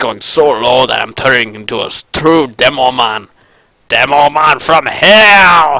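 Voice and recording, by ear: Using a put-on character voice, a man talks fairly slowly at a fairly high pitch with lively intonation.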